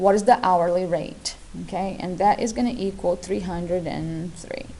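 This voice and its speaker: A woman speaks with a non-native accent. She keeps a moderate pace. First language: not English. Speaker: math teacher. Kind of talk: tutorial.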